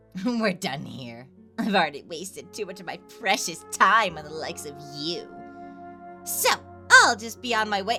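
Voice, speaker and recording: A put-on character voice, female-sounding and medium in pitch, at a moderate pace with clear music in the background. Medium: dub. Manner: mocking, contemptuous.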